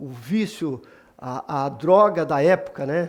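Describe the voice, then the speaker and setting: Lively intonation over a quiet background. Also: man. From Brazil (born in Bahia, moved to Minas Gerais). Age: 60s. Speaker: church member giving testimony. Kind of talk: testimony.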